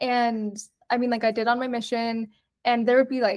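Speaking at a fairly quick pace, a woman with a fairly high pitch has a plain, everyday voice. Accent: American. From Utah (Provo). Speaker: podcast guest. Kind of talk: casual chat.

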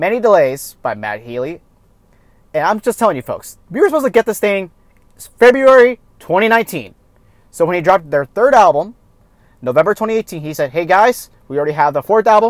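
A man's high-pitched voice makes very wide pitch swings at a fairly quick pace. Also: dry, close sound with no echo. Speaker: podcast host. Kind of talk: solo podcast monologue, album reviews. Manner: casual, self-deprecating.

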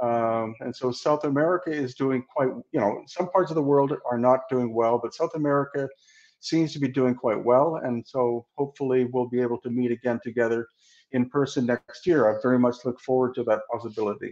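Here a man talks with a western Canadian accent at a medium pitch. His pace is fairly quick, and his intonation stays fairly even. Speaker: researcher and author on ancient megaliths. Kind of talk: interview.

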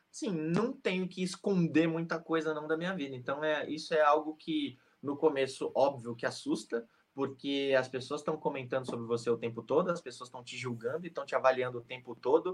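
Using an ordinary speaking voice, a man talks fairly quickly at a fairly high pitch, with ordinary pitch variation and big swings in loudness. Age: 30s. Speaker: sports YouTuber. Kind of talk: interview.

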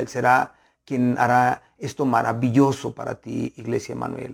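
A man speaks at a fairly slow pace. His medium-pitched voice has monotone, flat intonation. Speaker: pastor. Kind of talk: sermon. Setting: online broadcast. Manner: earnest, pastoral, warm, with rhythmic repetition of phrases.

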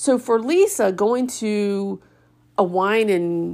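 In a very clean recording with a silent background, a woman speaks in a fairly high pitch with a dark, mellow tone. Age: 50s. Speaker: podcast host and retreat organizer. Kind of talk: casual solo monologue.

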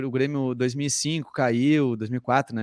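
A man with a Gaúcho Brazilian accent in a very clean recording with a silent background and a dry, close sound with no echo. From southern Brazil, interior of Rio Grande do Sul (Sapiranga). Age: 30s. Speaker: comedian and comedy writer. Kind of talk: casual chat.

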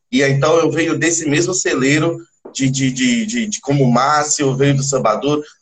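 A man at a moderate pace, his voice fairly high and somewhat breathy. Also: ordinary pitch variation. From Salvador, Bahia, Brazil. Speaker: percussionist in a band. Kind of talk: interview. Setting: livestream.

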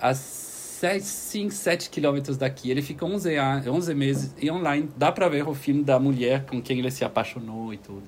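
A man talks at a moderate pace and fairly high pitch with ordinary pitch variation and hardly any pauses. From Switzerland. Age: 40s. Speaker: ecovillage community organiser. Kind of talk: interview. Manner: halting.

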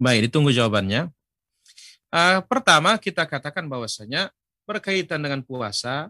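A man's fairly high, bright, sharp voice with very wide pitch swings at a moderate pace, dry and close with no echo, over a quiet background. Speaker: Islamic preacher. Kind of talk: religious lecture; Q&A answering viewer questions. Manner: formal.

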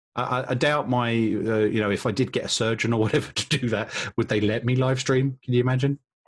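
A man with a British accent at a fairly quick pace, his loudness very even and his intonation flat and monotone. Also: medium pitch for a man. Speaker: podcast host. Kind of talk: casual chat.

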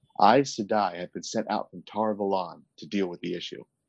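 A man talks at a fairly quick pace. He has a normal speaking voice with a fairly low pitch. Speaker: podcast host. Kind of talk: casual chat.

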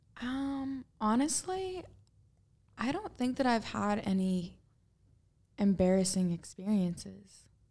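A woman's somewhat breathy, fairly high voice with an American accent, dark and mellow in tone, lively in intonation, at a very slow pace with long, frequent pauses. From US Pacific Northwest, Portland. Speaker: social media influencer. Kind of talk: casual chat.

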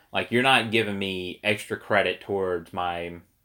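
In a very clean recording with a silent background, a man speaks loudly at a fairly low pitch, with a bright, sharp tone and fairly even intonation. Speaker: podcast host. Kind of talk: casual chat about gaming and current events. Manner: loud talker.

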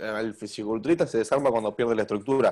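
Delivery is very fast, with intonation that stays mostly level. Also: man. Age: 20s. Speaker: bodybuilder. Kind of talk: interview. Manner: talkative.

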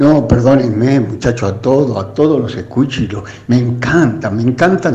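Noticeable background noise is present. Over it, a man talks with ordinary pitch variation. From Buenos Aires suburbs, Argentina. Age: 80s+. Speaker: radio listener. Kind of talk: casual chat. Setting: phone call.

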